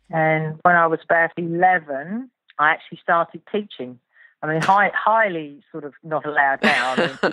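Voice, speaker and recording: With a slight English accent, a woman speaks at a moderate pace and fairly low pitch with ordinary pitch variation, her voice dry and close with no echo. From southern England. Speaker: riding instructor. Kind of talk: interview.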